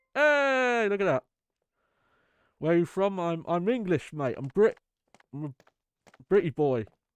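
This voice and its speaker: With music in the background and a dry, close sound with no echo, a man speaks at a moderate pace in a high pitch with very wide swings and long, frequent pauses. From southeast England. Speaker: game streamer. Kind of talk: casual live-stream commentary.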